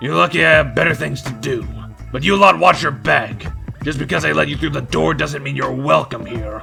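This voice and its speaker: A man speaks in a put-on character voice at medium pitch, with very wide pitch swings. His pace is fairly quick, and music is clearly audible in the background. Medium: audio drama. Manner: mocking, aggressive.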